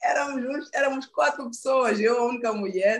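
Pitch varies in an ordinary way as she talks. The woman's pace is fairly quick. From Mozambique (Maputo, later northern Mozambique). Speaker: stand-up comedian. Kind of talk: casual chat. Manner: animated.

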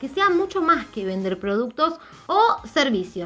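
With an Argentine accent, a woman speaks at a high pitch over noticeable background noise. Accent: Rioplatense Argentine Spanish. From Argentina. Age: 30s. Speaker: personal branding mentor and podcast host. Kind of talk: solo podcast monologue.

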